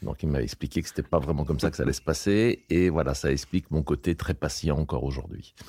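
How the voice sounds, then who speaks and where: With vocal fry and a dark, mellow tone, a man speaks at a very fast pace and a very deep, low pitch, his pitch varying in an ordinary way. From France, near Lyon. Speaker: landscape gardener. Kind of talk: interview. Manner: hesitant, many fillers.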